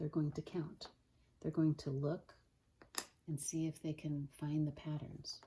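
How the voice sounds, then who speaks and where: The voice is dark and mellow, somewhat breathy, and moves at a fairly slow pace. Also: woman. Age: adult. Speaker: Montessori teacher. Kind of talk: tutorial.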